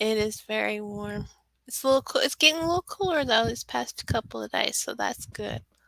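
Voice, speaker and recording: Speaking at a fairly quick pace in an American accent, a woman is heard in a dry, close sound with no echo. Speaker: author. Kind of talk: interview.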